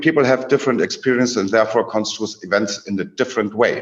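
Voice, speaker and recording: A man with a German accent. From Germany. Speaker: academic presenter. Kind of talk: presentation talk. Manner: halting.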